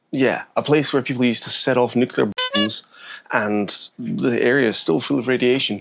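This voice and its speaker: Music plays in the background while the speaker uses lively intonation. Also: man, very even loudness. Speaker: sailing vlogger. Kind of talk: casual vlog talk. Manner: talking quietly.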